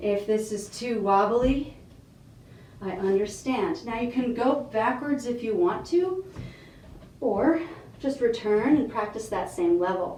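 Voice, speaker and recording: A woman with a fairly high pitch and lively intonation speaks fairly slowly, with long, frequent pauses. Noticeable background noise and audible room echo are present. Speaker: fitness instructor. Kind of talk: tutorial.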